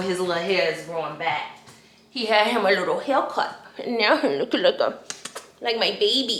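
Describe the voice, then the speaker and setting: A woman at medium pitch with lively intonation and a moderate pace, against background music and audible room echo. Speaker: lifestyle vlogger. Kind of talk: casual vlog. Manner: loud; animated.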